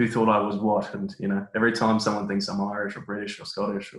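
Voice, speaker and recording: At a very fast pace, a man speaks in a fairly low pitch. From Australia. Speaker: construction cost manager. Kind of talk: podcast interview.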